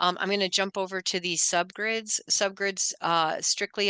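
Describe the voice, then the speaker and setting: A bright, sharp tone with fairly even intonation, dry, close sound with no echo and a quiet background. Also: woman. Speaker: software demo presenter. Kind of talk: tutorial. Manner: fast.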